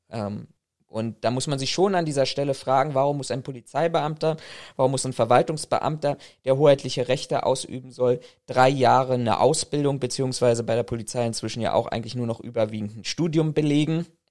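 In a very clean recording with a silent background, a man with a normal speaking voice talks fairly quickly at a medium pitch, varying his pitch in an ordinary way. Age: 30s. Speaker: private security professional. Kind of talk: research interview.

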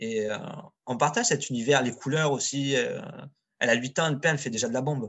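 At a very fast pace, a man with a medium pitch speaks with fairly even intonation. He leaves long, frequent pauses. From southern France, Marseille suburbs. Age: 40s. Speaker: street artist. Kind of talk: casual chat. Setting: internet call.

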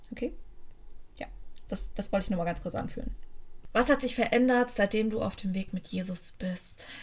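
A woman speaks at a moderate pace with long, frequent pauses. Her voice is fairly high and somewhat breathy. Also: ordinary pitch variation. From Germany, near Frankfurt (Hesse). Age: 30s. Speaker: podcast host. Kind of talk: personal testimony. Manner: casual, with fillers and hesitations.

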